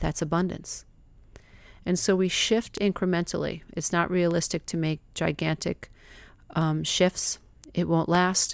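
A woman at a fairly low pitch with fairly even intonation, a fairly slow pace and long, frequent pauses, in a very clean recording with a silent background. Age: 50s. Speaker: life coach. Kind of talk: monologue podcast, motivational self-help talk; guided visualization.

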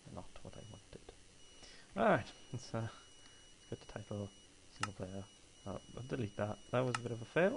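Somewhat breathy, the voice shows ordinary pitch variation, big swings in loudness, and long, frequent pauses. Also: man, medium pitch for a man, moderate pace. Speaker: gamer. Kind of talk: gameplay commentary. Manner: casual.

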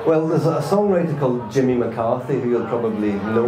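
Noticeable background noise sits behind the voice. The speaker is a man. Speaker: guest. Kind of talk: interview answer. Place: stage.

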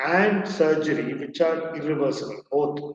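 Audible room echo surrounds a man's voice. He talks at a fairly slow pace with ordinary pitch variation. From India, Chennai; India. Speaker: psychiatrist; guest. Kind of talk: interview. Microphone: connection drops; video call.

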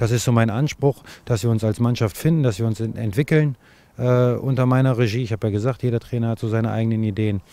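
At a very fast pace, a man with a medium pitch and a dark, mellow tone talks with fairly even intonation in a dry sound with no echo. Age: 40s. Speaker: football coach. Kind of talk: interview. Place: open country. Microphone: handheld.

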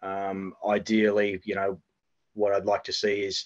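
In an Australian accent, a man speaks with a fairly low pitch and a monotone, flat intonation. The background is quiet. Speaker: national cricket team head coach. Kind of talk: interview. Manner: halting, many fillers. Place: home room. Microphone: video call.

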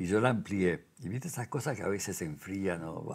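Here a man speaks with ordinary pitch variation. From Uruguay. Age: 90s. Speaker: sculptor; interviewee. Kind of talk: casual chat. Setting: artist's workshop. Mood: calm, reflective. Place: workshop. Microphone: lapel.

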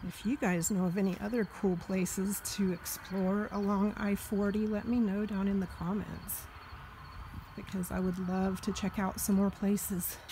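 Her intonation is monotone and flat, and the woman keeps a moderate pace. Light background noise is present. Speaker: solo road-trip vlogger. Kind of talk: casual vlog chat. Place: open country. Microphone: phone near.

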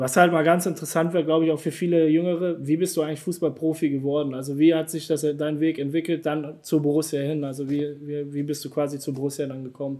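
A man's fast, fairly high-pitched voice with a dark, mellow tone, little pitch movement and few pauses.

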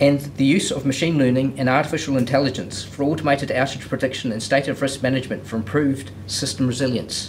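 Speaking at a fairly quick pace, a man holds a medium pitch. His intonation is fairly even.

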